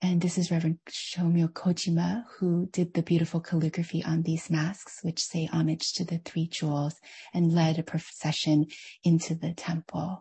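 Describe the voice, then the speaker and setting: A woman with an American accent speaks at a moderate pace, her fairly low voice somewhat breathy and monotone, flat in intonation. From United States. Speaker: author and former hospital chaplain. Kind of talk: online lecture with Q&A.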